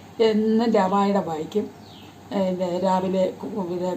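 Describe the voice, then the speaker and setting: Audible room echo hangs around this speaker. She is a woman whose pitch sits in the medium range. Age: 90s. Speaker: elderly storyteller. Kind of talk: casual storytelling. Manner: halting.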